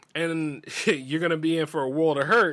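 This man has a slight Southern US accent. His tone is bright and sharp. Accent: slight Southern drawl. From US South. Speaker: radio show host. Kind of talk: casual monologue. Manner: animated.

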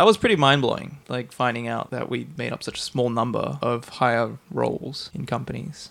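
Speaking with an Australian accent, a man keeps a moderate pace. He leaves hardly any pauses. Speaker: podcast host. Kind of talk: casual chat.

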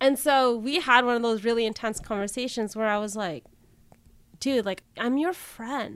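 A woman talks at a moderate pace with a fairly high pitch and ordinary pitch variation. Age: 30s. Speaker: youth minister and podcaster. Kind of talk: casual interview chat.

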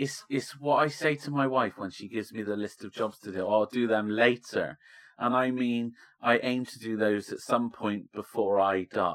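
Ordinary pitch variation and a medium pitch mark this man's voice. It is an unremarkable speaking voice, delivered at a moderate pace. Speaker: podcast co-host, vicar. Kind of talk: casual chat.

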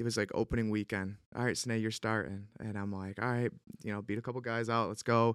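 A man speaks very fast with an Upstate New York accent. His intonation stays monotone and flat. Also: medium pitch for a man. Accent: Upstate New York American. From Central New York (Syracuse). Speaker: former pro baseball player, real estate agent. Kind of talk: casual chat.

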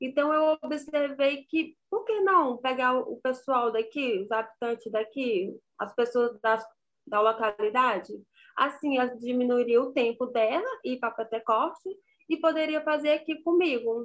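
Speaking at a fairly slow pace, a woman uses a high pitch and ordinary pitch variation. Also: quiet background. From rural Ceará, Brazil. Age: 30s. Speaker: small business owner. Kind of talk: interview.

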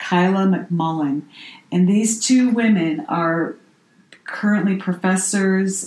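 Speaking at a very slow pace, a woman sounds somewhat breathy, with ordinary pitch variation. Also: medium pitch for a woman. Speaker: podcast co-host. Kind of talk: casual chat.

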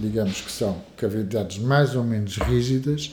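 The voice has a dark, mellow tone and sounds somewhat breathy. Its pitch variation is ordinary. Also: man. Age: 50s. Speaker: physician. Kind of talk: interview. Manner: halting, with frequent repetitions and fillers.

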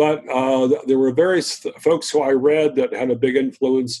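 At a moderate pace, a man speaks with a medium pitch and a dark, mellow tone. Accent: American. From US South, Virginia. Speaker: libertarian columnist and author. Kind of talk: casual interview.

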